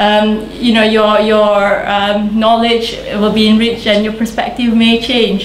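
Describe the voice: A woman with a fairly high pitch talks at a fairly slow pace, with audible room echo around her.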